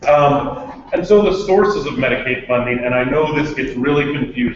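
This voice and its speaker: Audible room echo and noticeable background noise are present. A man speaks at a moderate pace with ordinary pitch variation. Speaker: health policy presenter. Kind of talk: presentation.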